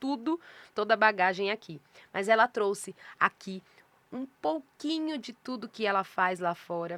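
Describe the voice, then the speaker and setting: A woman of medium pitch with a bright, sharp tone and lively intonation, in a dry, close sound with no echo and a very clean recording with a silent background. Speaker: podcast host and publisher. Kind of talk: casual interview intro. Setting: podcast studio with cameras. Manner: slow, deliberately paused.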